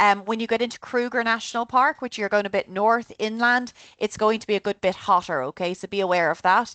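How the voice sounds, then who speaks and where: A woman with an Irish accent at a fairly quick pace, dry and close with no echo, against a quiet background. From Ireland. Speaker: travel tour organizer. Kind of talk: informational presentation. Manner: casual and animated.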